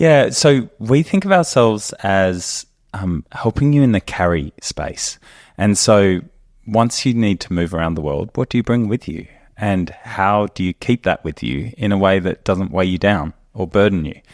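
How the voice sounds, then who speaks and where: With an Australian accent, a man speaks at a moderate pace in a fairly low pitch, his intonation lively and the sound dry and close with no echo. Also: quiet background. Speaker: company co-founder and podcast host. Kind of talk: casual chat.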